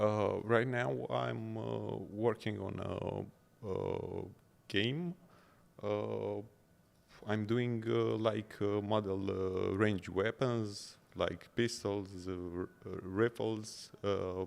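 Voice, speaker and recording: A man with a Romanian accent speaks at a very slow pace. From Romania, small town. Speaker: 3D artist. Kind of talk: interview. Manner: halting, many filler sounds.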